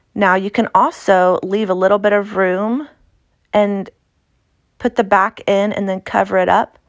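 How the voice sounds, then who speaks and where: Speaking in an American accent at a fairly slow pace, a woman keeps her intonation fairly even and takes long, frequent pauses. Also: medium pitch for a woman. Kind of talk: tutorial. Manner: casual, halting.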